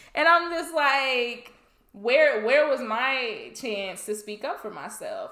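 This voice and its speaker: At a very slow pace, a woman uses a raised, projected, high-pitched voice with lively intonation and big swings in loudness. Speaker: podcast co-host. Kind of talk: casual chat.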